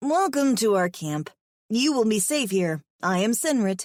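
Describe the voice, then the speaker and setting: In a put-on character voice, a female-sounding speaker talks at a fairly high pitch and a moderate pace. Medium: read story. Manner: cautious, nervous.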